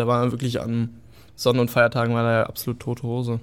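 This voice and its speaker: Speaking at a fairly quick pace, a man keeps to a medium pitch. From northern Germany (Göttingen, Lower Saxony). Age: 20s. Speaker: young Berlin resident sharing experiences. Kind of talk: casual chat.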